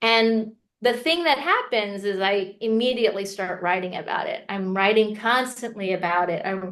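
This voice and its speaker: In an American accent, a woman with an ordinary speaking voice and fairly high pitch talks at a moderate pace with ordinary pitch variation and hardly any pauses. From US (Korean American, Texas). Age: 40s. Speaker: memoirist. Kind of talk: interview.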